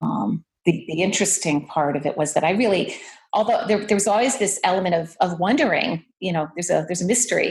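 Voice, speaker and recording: Speaking very fast, a woman uses a somewhat breathy, medium-pitched voice with ordinary pitch variation. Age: 60s. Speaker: artist. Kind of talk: casual chat. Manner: halting, many fillers.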